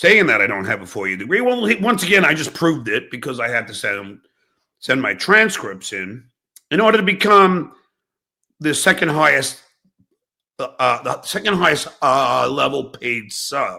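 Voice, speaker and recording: A man's bright, sharp voice with vocal fry, very wide pitch swings and a moderate pace. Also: fairly high pitch for a man. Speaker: substitute teacher, music production teacher. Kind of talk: casual talk to camera, podcast rant.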